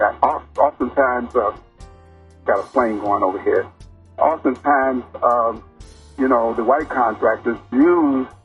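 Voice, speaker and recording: Music plays in the background as a man speaks with a medium pitch at a fairly slow pace. His intonation is fairly even, his loudness very even, and he leaves long, frequent pauses. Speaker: construction project advisor, interview guest. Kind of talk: interview answer, community forum talk.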